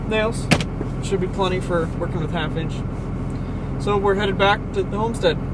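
There's loud background noise as a man speaks, with a dry sound and no echo. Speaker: vlogger. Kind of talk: casual vlog chat.

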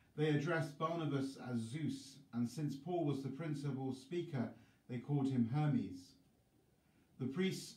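A man with ordinary pitch variation and audible room echo. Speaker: priest. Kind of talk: scripture reading.

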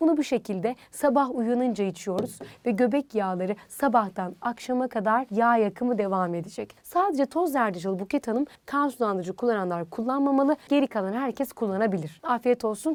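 A woman's animated, fairly high voice, lively in intonation, at a moderate pace with hardly any pauses, dry and close with no echo. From rural Turkey (village). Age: 20s. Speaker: dietitian. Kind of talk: interview.

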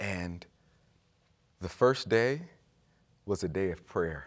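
A man with an American accent talks at a fairly slow pace. His intonation is lively, and the background is quiet. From Chicago. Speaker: nonprofit staff; guest. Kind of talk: casual chat. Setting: studio. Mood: warm, earnest storytelling. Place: studio. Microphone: lapel.

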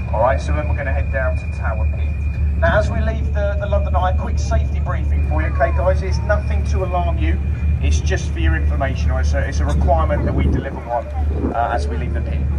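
A man speaks at a very fast pace over loud background noise. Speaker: boat tour guide. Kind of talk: tour commentary and safety briefing. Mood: friendly, joking. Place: boat.

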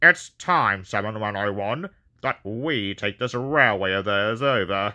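A man puts on a character voice at a fairly low pitch. He speaks very slowly against a quiet background. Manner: scheming.

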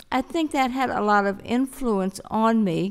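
Speaking with an American accent, a woman uses ordinary pitch variation. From US South. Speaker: civil rights activist. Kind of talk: panel discussion. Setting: stage with audience. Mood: warm, humorous reminiscence. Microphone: podium.

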